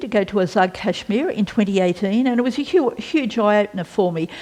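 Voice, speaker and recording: A woman with lively intonation at a fairly quick pace. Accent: Australian. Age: 60s. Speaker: former senator. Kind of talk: interview. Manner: halting.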